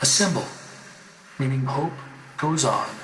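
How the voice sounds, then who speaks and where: Background noise is noticeable. A man speaks with ordinary pitch variation. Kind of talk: poetry reading.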